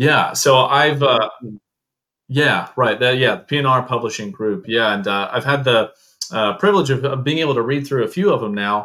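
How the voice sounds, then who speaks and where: A man's lively intonation at a medium pitch and moderate pace. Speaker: podcast host. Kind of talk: interview. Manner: halting.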